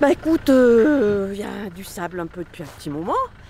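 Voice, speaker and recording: Over noticeable background noise, a woman speaks at a moderate pace with very wide pitch swings. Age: 60s. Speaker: motorcycle traveler. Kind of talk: interview testimony. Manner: hesitant, many fillers.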